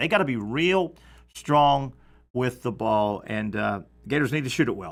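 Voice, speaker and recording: At a moderate pace, a man with a Southern accent speaks with vocal fry on a very clean recording with a silent background. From US South. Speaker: sports radio host. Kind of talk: sports talk show. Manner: casual, filler-heavy.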